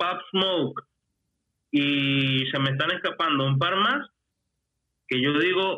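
A man's fairly high-pitched voice at a very slow pace, with ordinary pitch variation, very even loudness and long, frequent pauses. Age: 30s. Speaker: rapper. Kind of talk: casual chat. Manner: talkative once warmed up.

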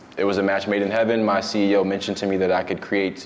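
Speaking at a fairly quick pace, the man is heard over noticeable background noise. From Brooklyn, New York; moved to Georgia at 12. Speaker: financial planner. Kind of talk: casual interview.

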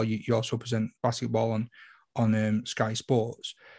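A man speaks at a fairly quick pace with a medium pitch and a somewhat breathy voice, recorded very cleanly against a silent background with a dry, close sound and no echo. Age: 40s. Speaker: podcast host. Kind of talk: casual interview chat.

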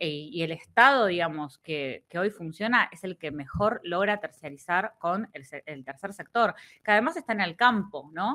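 At a moderate pace, a woman with a medium-pitched voice and a bright, sharp tone talks with lively intonation and big swings in loudness. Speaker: writer and political scientist. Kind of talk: casual chat.

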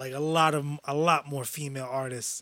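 The speaker has a New York accent. The recording is very clean, with a silent background and a dry, close sound with no echo. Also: man. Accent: New York City. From New York, Brooklyn. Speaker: podcast co-host. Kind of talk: casual chat. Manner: animated.

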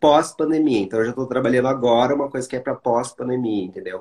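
Fairly even intonation marks a man's medium-pitched delivery in a plain, everyday voice. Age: 30s. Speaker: HIV content creator and live host. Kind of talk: casual interview livestream.

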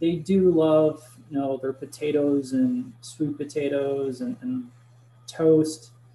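Very slow speech from a man with a fairly high pitch. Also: fairly even intonation. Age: 30s. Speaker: supplement company product expert. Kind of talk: casual chat.

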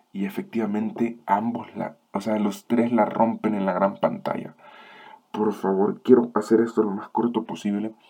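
His fairly low voice has a dark, mellow tone. The man speaks at a fairly slow pace in a monotone, flat intonation. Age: 20s. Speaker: film review podcast host. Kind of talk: solo film review monologue. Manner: halting.

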